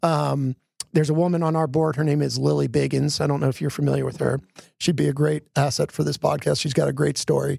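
A man with an American accent at a very fast pace, in a dry, close sound with no echo. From US Northeast, Philadelphia. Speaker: arena manager. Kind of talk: casual chat.

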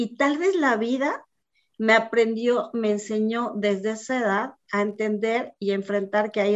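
Speaking at a very slow pace, a woman has a fairly high pitch and ordinary pitch variation. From Mexico City. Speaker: business executive. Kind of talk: interview. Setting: video call.

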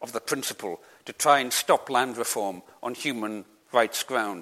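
A man with a Scottish Highlands and Islands accent speaks at a medium pitch in a bright, sharp tone. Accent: Scottish Highland and Islands. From Isle of Lewis, Scotland. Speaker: author and land reform campaigner. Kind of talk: Q&A at a public talk. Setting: hall with audience, PA and hearing loop.

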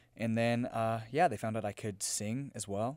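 An unremarkable speaking voice at a fairly quick pace, fairly even intonation, very clean recording and a silent background. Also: man. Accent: American. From US South, Memphis, Tennessee. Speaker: musical theatre student. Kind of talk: casual chat.

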